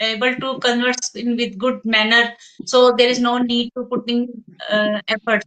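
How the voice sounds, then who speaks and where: A woman talks fairly slowly with a high pitch. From India, Delhi. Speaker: English teacher, channel host. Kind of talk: casual interview conversation. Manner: hesitant, many fillers.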